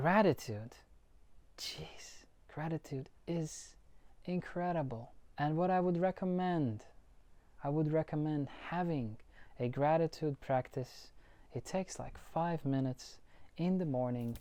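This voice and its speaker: Against a silent background in a very clean recording, a woman with a very deep, low pitch speaks at a fairly slow pace, using ordinary pitch variation and long, frequent pauses. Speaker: life coach. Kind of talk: motivational talk to camera. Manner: casual, repetitive restarts.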